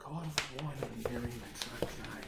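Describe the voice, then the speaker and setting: A strong Australian accent with lively intonation over noticeable background noise. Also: man. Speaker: obstacle course racer. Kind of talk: casual talk to camera. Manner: upbeat.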